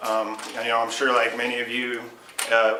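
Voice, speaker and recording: Over noticeable background noise and audible room echo, a man talks. His medium-pitched voice has monotone, flat intonation. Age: 30s. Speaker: Lyme disease patient and speaker. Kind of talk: speech to a support group.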